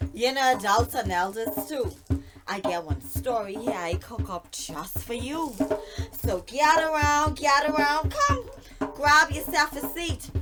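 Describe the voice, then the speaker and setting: With music playing in the background, a woman speaks at a fairly slow pace in a Bahamian accent. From Bahamas. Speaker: storyteller. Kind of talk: folk tale storytelling.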